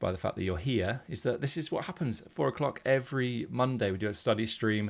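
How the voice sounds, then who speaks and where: A man talks at a very fast clip in a British accent. His intonation is lively throughout. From UK. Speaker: poker coach. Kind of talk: live stream poker tutorial. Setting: live stream.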